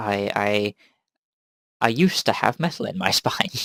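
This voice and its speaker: Speaking in a southern English accent, a man uses lively intonation at a medium pitch. His pace is fairly slow, and the sound is dry and close with no echo. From southern England. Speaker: podcast host. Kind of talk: casual chat.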